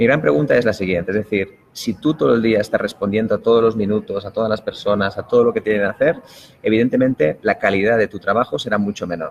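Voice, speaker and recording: A man with a Spanish accent talks at a very fast pace, his pitch varying in an ordinary way. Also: fairly low pitch for a man. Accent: Spanish (Spain) accent, noticeable. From Spain. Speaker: productivity expert. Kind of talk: interview.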